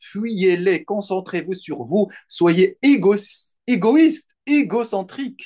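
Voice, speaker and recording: This man's voice is high-pitched, with lively intonation. He speaks at a very slow pace. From Morocco, Salé. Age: 40s. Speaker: writer. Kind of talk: interview.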